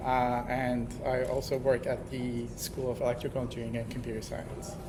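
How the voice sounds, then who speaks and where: A man talks at a moderate pace in a medium pitch. His delivery is flat and monotone, with noticeable background noise behind him. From Iran. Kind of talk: self-introduction in lecture. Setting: lecture hall.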